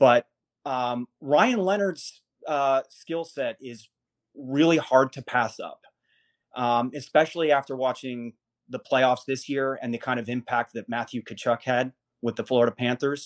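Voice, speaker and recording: An ordinary speaking voice moves at a fairly slow pace with fairly even intonation and big swings in loudness, in a dry, close sound with no echo against a quiet background. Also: man, medium pitch for a man. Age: 30s. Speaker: hockey writer. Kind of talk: casual chat.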